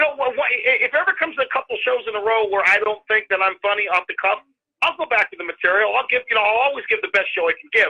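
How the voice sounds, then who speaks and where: This man's voice sits high in pitch. He rattles through his words at a very fast clip. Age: 60s. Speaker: comedian. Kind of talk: casual chat. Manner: halting, many repeated words.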